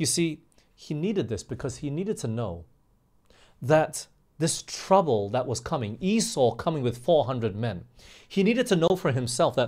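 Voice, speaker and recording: On a very clean recording with a silent background, a man with vocal fry speaks at a moderate pace in a fairly high pitch with very wide pitch swings. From Australia (also England and US). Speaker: pastor. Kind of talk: sermon.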